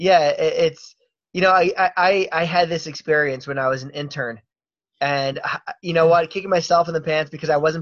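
At a fairly quick pace, a man talks in a normal speaking voice, fairly high in pitch with fairly even intonation. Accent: American. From Baltimore, US. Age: 30s. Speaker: podcast host. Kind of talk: casual interview.

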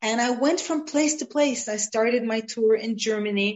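The woman speaks with an American accent in a fairly high voice. Her pace is fairly slow, with ordinary pitch variation. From Israel and abroad, partly Los Angeles. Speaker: art curator and lecturer. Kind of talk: interview.

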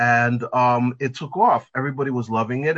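Delivered at a fairly quick pace, this is an ordinary speaking voice with an American accent. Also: man. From New York. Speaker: pet fashion designer. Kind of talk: interview.

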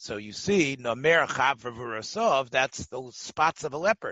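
A man's voice with lively intonation. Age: 60s. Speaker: rabbi teaching Talmud class. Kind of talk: Talmud lecture.

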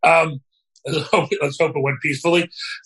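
Speaking at a fairly quick pace, a man with a fairly high pitch and a bright, sharp tone is heard in a dry, close sound with no echo. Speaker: rabbi. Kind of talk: casual chat.

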